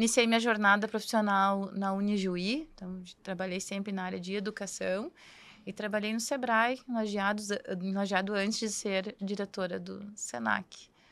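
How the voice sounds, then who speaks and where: Speaking at a moderate pace and medium pitch, a woman keeps her intonation fairly even while her loudness swings widely, on a very clean recording with a silent background. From southern Brazil, Cruz Alta (Rio Grande do Sul interior). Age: 40s. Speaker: university rector. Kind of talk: podcast interview.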